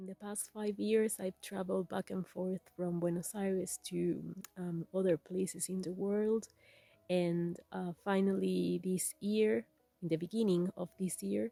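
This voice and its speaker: A woman with an Argentine accent speaks at a fairly slow pace and a medium pitch, with fairly even intonation. The sound is dry and close, with no echo. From Argentina. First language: Spanish. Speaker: weaver. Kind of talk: casual talk to camera.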